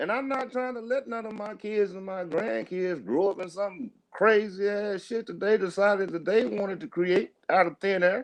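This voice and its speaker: Speaking at a moderate pace with hardly any pauses, a man with a high voice uses ordinary pitch variation. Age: 60s. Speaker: podcast host. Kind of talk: casual chat. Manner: animated; repetitive, halting starts.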